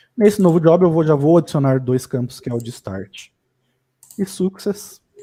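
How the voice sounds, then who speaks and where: A man speaks at a moderate pace, fairly high in pitch, with lively intonation. His tone is dark and mellow, and his loudness swings widely. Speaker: data engineering instructor. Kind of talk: live tutorial. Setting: livestream.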